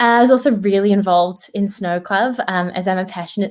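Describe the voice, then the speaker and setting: A woman with a New Zealand accent, medium in pitch, with lively intonation and a fairly quick pace. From New Zealand, Auckland. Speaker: graduate employee at a tech company. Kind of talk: career talk to students. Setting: virtual event.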